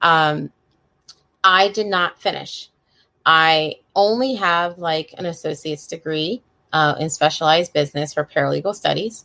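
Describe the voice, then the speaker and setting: Using a plain, everyday voice, a woman with an American accent talks at a moderate pace with a fairly low pitch and ordinary pitch variation. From Pennsylvania, near Philadelphia. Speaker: online reseller and podcast host. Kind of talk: solo podcast monologue. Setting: livestream video recording. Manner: casual, chatty with filler words.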